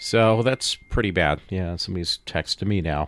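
The man speaks at a fairly slow pace. His pitch sits fairly low. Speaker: podcast host. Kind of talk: casual monologue.

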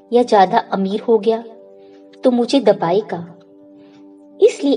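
A woman with a fairly high pitch speaks while music plays in the background. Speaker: motivational speaker. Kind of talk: motivational speech.

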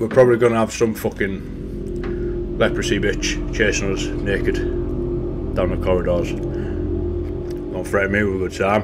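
Music can be heard behind the speech. The man delivers his words fairly slowly. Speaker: game streamer. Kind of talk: gaming commentary. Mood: joking, playful. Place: home room. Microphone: studio mic.

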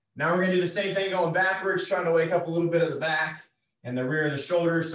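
A man's high voice with fairly even intonation and audible room echo. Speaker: fitness instructor. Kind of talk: workout instruction. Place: home room. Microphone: camera far.

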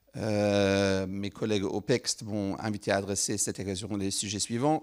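The speaker has a non-native accent. The background is quiet. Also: man. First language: not French (speaking French). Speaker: head of a parliamentary science foresight unit. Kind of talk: formal address at a round table. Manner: halting, many hesitations. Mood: polite, slightly hesitant. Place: hall. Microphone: handheld.

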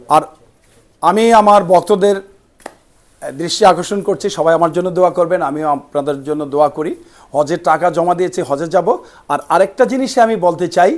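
The man's high pitch shows ordinary pitch variation. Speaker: film actor and karate player. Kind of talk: interview. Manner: halting.

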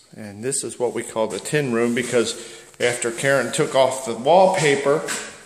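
Heard with audible room echo, the voice moves at a moderate pace with ordinary pitch variation. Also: man. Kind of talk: casual home tour narration. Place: home room. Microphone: phone near.

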